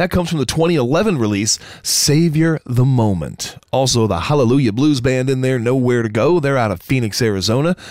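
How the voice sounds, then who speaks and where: With a plain, everyday voice, a man speaks at medium pitch and a moderate pace, his loudness very even throughout. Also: lively intonation, hardly any pauses. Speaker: radio host. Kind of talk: radio DJ patter, promotional. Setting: internet radio broadcast. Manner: brisk, upbeat, polished; promotional, repeats calls to action.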